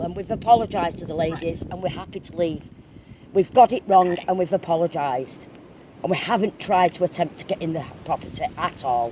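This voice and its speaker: Over noticeable background noise, a woman with a fairly low pitch talks fairly quickly, her loudness swinging widely. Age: 60s. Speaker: urban explorer. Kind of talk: phone call to police.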